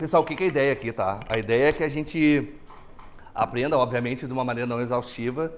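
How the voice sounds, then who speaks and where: Very fast talk from a man at a medium pitch, its variation ordinary. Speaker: accountant and lecturer. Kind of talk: lecture.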